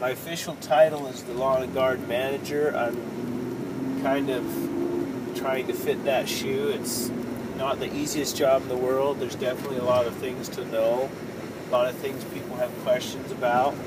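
A man's voice with dry sound, no echo, and loud background noise. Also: moderate pace. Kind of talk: casual vlog chat. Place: car. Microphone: phone near.

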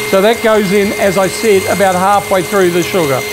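A man talks over noticeable background noise. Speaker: home cook host. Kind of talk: cooking tutorial. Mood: warm, chatty. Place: kitchen.

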